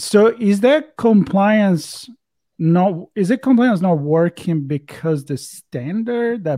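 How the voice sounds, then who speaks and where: A man with an Italian accent speaks at a very slow pace. His tone is dark and mellow, and his intonation is lively. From Italy. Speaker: podcast host. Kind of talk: casual chat.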